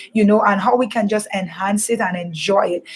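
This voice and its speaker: Her voice somewhat breathy, a woman talks at a medium pitch with ordinary pitch variation. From Caribbean, Antigua or Dominica. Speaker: radio host. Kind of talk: radio show presenting. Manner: conversational, with many fillers.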